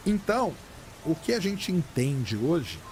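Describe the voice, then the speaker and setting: A man speaks in a calm tone with lively intonation. Noticeable background noise runs underneath. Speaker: astronomy communicator. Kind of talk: interview answer.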